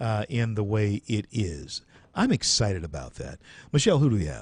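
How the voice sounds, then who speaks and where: With an American accent, a man speaks at fairly low pitch with very wide pitch swings and a somewhat breathy sound. The background is quiet, and the sound is dry and close with no echo. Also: moderate pace. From US South. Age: 60s. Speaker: radio talk show host. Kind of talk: call-in talk radio.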